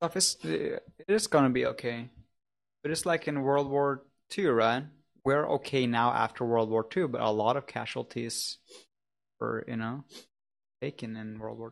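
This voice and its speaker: A man with a Norwegian accent and medium pitch, at a moderate pace with ordinary pitch variation, big swings in loudness and long, frequent pauses, in a very clean recording over a silent background. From Norway. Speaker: livestream co-host. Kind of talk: casual livestream chat.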